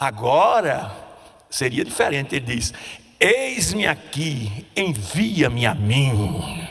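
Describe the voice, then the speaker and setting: A very slow delivery with very wide pitch swings, noticeable background noise and audible room echo. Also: man, medium pitch for a man. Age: 70s. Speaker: preacher. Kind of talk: sermon.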